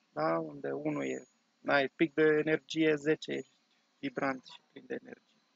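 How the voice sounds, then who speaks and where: The tone is calm and the pace fairly slow. Loudness swings widely throughout. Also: man. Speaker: online course teacher and meditation guide. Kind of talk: guided meditation with breathing and body-tensing exercise, spoken as direct instructions. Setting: video recording for online course. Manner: calm, slow-paced, instructive, with pauses between cues; warm, encouraging, conversational.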